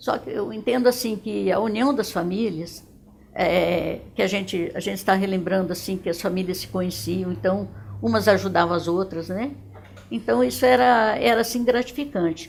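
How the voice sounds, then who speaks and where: Using very wide pitch swings around a medium pitch, a woman talks at a moderate pace with vocal fry. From Dourados, Mato Grosso do Sul, Brazil. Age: 70s. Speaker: retired educator. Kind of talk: testimony. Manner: halting, with frequent repetitions.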